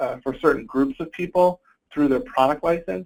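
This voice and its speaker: A man is talking here. His pace is fairly quick. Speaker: IT consultant presenting a webinar. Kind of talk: webinar tutorial. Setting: online webinar. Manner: fast; hesitant with fillers.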